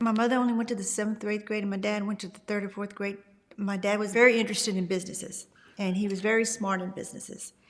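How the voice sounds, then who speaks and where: A woman with an American accent talks at a very fast pace in a monotone, flat delivery at medium pitch, with noticeable background noise behind her. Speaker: longtime resident. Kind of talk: oral history interview.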